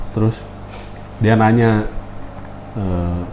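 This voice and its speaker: Over noticeable background noise, a man talks at a very slow pace with a fairly low pitch and fairly even intonation. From West Java, Bandung. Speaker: podcast host. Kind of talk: casual chat.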